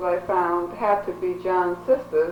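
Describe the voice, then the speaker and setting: A woman speaks over noticeable background noise. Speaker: genealogist. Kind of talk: interview questions.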